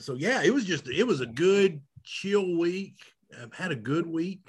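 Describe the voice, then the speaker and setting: Bright and sharp in tone, this man speaks with a Southern US accent. His pace is fairly slow. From Arkansas. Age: 40s. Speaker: podcast co-host. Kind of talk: casual chat.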